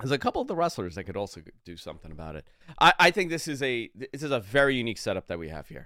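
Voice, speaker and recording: A man talks at a very fast pace with very wide pitch swings and vocal fry. His tone is bright and sharp on a very clean recording with a silent background. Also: big swings in loudness. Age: 40s. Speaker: wrestling radio host. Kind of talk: sports radio talk show. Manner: animated.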